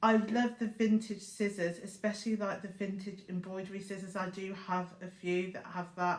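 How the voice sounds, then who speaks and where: At a moderate pace, a woman with medium pitch speaks in a monotone, flat intonation. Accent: British. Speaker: crafting YouTuber. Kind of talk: casual vlog talk. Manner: chatty with fillers.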